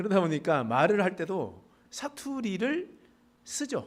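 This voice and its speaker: A man speaks in a high voice with very wide pitch swings. His pace is fairly slow. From rural Pohang area, North Gyeongsang, South Korea. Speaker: pastor. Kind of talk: sermon. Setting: church service.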